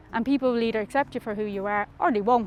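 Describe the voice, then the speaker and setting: A woman speaks with a North Dublin accent at a fairly quick pace. Her pitch is fairly high and her intonation fairly even. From Ireland, North Dublin (Darndale). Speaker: community researcher and teacher. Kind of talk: testimony. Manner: casual, conversational.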